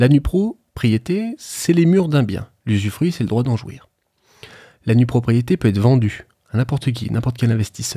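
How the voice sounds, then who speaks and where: A man talks at a moderate pace in a medium pitch, somewhat breathy, with ordinary pitch variation. The sound is dry and close with no echo, on a very clean recording over a silent background. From France, Haute-Savoie. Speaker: financing consultant. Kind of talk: podcast interview, explaining. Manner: hesitant, many fillers.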